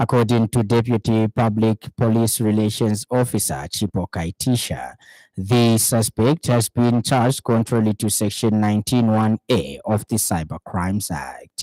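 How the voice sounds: In a dry, close sound with no echo, a man speaks at a fairly slow pace and fairly low pitch, his dark, mellow tone showing ordinary pitch variation.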